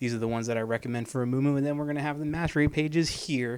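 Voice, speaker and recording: A man's voice at medium pitch. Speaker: video game coach. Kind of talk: tutorial. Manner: fast; casual.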